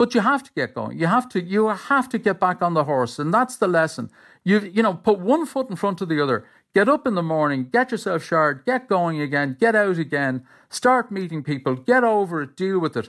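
In an Irish accent, a man talks at a fairly quick pace. His voice is high-pitched, with very wide pitch swings. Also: very clean recording, silent background. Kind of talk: interview.

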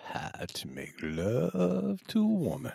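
A man's put-on character voice, very deep and low in pitch, at a fairly slow pace. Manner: smooth, seductive.

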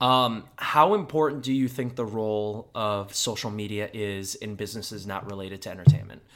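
In a General American accent, a man uses an ordinary speaking voice at a fairly low pitch with ordinary pitch variation, speaking at a fairly quick pace with hardly any pauses. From US Midwest. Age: 20s. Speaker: podcast host. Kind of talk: casual chat. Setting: studio.

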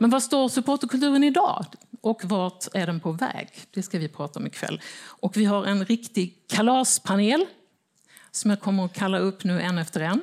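In a very clean recording with a silent background, a woman uses a plain, everyday voice at medium pitch, moderate pace and ordinary pitch variation. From Småland, Sweden (Växjö). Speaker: newspaper editor and panel moderator. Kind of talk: moderated panel discussion. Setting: stage with audience.

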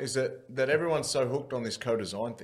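Speaking very fast, a man has a somewhat breathy voice. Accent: Australian. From Wagga, New South Wales, Australia. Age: 30s. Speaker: former rugby league player and boxer, mental health advocate. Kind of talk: interview conversation.

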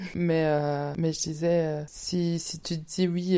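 Speaking at a fairly slow pace, a woman has a fairly low pitch and a dark, mellow tone. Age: 20s. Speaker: podcast host. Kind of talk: solo monologue. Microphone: new microphone.

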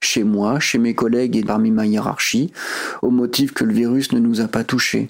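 A man speaks at a medium pitch. His intonation is fairly even, and his pace is moderate. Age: 40s. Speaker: home care aide. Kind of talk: personal audio diary.

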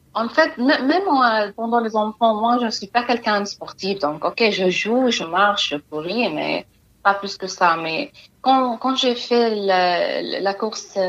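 Speaking with an Arabic accent, a woman has a fairly high pitch. Her pace is very slow. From Palestine. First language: Arabic (speaking French). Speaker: humanitarian worker. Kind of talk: interview. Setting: phone call. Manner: halting.

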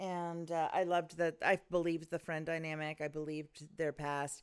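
In a very clean recording against total silence, the talking unfolds at a medium tempo. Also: woman. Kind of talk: casual chat.

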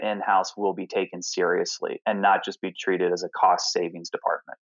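A man talks with a slight Southern US accent. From US South, Alpharetta, Georgia. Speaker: chief creative and strategy officer. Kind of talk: interview.

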